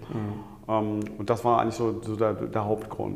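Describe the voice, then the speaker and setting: Audible room echo and noticeable background noise fill the recording. A man speaks at a fairly slow pace. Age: 50s. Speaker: management consultant, coaching client. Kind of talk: interview. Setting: on location overlooking a Hamburg street. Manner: hesitant, many filler sounds.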